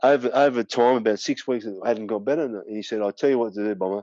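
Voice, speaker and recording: Ordinary pitch variation and a fairly quick pace from a man with a medium-pitched voice. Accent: Australian. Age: 50s. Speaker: former kickboxing world champion. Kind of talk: podcast interview.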